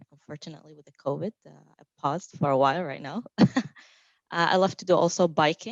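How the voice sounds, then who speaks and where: A woman with a Saudi accent speaks at a fairly low pitch in a dry, close sound with no echo. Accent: Saudi Arabian. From Saudi Arabia. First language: Arabic. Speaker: technical marketing engineer. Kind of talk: panel self-introduction.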